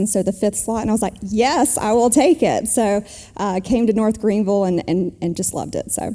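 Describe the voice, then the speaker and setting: Fairly quick, nearly pause-free speech with a South Carolina accent in a dark, mellow tone. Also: woman. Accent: South Carolina Southern. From South Carolina, Travelers Rest. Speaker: small-town mayor and business executive. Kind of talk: interview on stage.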